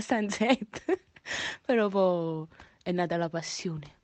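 An animated woman's voice in a Neapolitan accent. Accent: Neapolitan Italian. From Naples, Italy. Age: 20s. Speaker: singer and online content creator. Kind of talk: casual radio interview.

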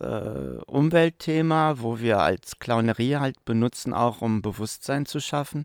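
An ordinary speaking voice from a man at medium pitch, with ordinary pitch variation, a fairly slow pace, a dry, close sound with no echo, and a very clean recording with a silent background. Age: 60s. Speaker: professional clown. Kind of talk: interview.

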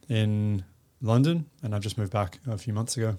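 A man with an Australian accent speaks at a moderate speed. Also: very clean recording, silent background. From Western Australia, Perth. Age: 30s. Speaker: fashion influencer and sustainability advocate. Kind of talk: casual interview. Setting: studio.

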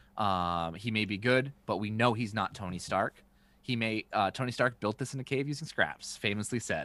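At a moderate pace, a man with a fairly low pitch talks in an animated, bright and sharp tone with ordinary pitch variation. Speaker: podcast host. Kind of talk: casual chat. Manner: animated, excitable.

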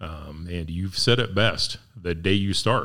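A man is speaking. The recording is very clean, with a silent background. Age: 50s. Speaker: podcast host, business owner. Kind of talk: casual chat.

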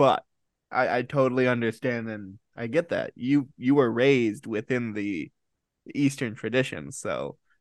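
With an American accent, a man talks fairly slowly at a medium pitch and with ordinary pitch variation. His is an unremarkable speaking voice, recorded dry and close with no echo. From Rochester, New York, US. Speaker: podcast host. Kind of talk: interview.

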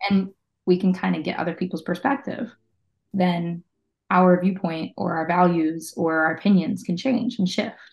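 A woman with an American accent has a plain, everyday voice and a fairly low pitch. She talks at a moderate pace with ordinary pitch variation. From western Pennsylvania, Pittsburgh area. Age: 30s. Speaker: community manager and musician. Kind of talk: casual interview chat.

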